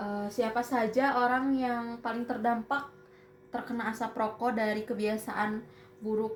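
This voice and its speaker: Against noticeable background noise, a woman speaks fairly slowly in a fairly high pitch with monotone, flat intonation. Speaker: university student interviewer. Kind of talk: student interview assignment. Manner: halting.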